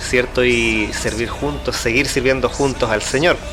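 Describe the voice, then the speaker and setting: A man speaks at a medium pitch and a fairly slow pace, his intonation fairly even, with music playing in the background. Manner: stammering from nerves.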